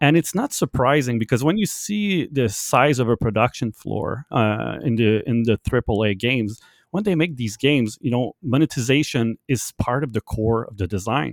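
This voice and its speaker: Speaking at a moderate pace with hardly any pauses, a man with a French Canadian accent uses lively intonation at a medium pitch, in a very clean, dry, close recording with no echo and a silent background. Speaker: game tools developer. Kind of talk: casual interview chat. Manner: informal, hesitant with filler words.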